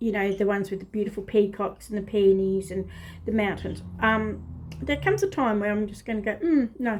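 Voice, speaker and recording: A woman's somewhat breathy voice at medium pitch, moving at a fairly quick pace. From northern England. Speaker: craft video host. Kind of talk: casual show-and-tell vlog. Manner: animated.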